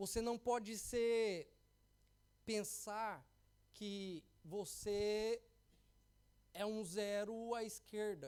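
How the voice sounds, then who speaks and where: This is a man speaking. His voice is high in pitch. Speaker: pastor. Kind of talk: sermon. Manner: halting.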